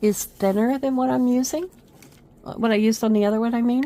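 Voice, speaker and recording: A woman is speaking. Her pace is moderate. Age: 50s. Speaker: craft video creator. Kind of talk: crafting tutorial. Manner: casual, chatty.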